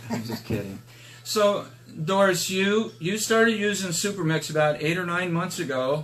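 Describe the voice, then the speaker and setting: A high-pitched male voice with lively intonation at a moderate pace, amid noticeable background noise. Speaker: product promoter. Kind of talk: casual live stream interview host.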